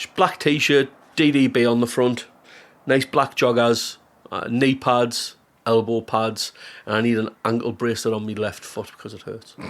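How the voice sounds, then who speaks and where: In a Geordie accent, the speaker talks at a moderate pace with fairly even intonation and big swings in loudness. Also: man, medium pitch for a man. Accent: Geordie (Newcastle). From Newcastle, northeast England. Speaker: comedian. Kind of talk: casual chat.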